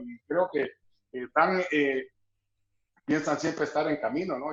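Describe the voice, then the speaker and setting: At a fairly slow pace, a man talks in a normal speaking voice pitched fairly high. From El Salvador. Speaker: sports broadcaster. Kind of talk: interview answer.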